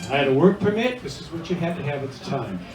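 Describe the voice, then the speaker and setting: With noticeable background noise and audible room echo, a man talks at a fairly quick pace in an American accent. His pitch is high, with ordinary pitch variation. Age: 70s. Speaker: retiring bartender. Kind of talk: retirement party speech. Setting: restaurant party.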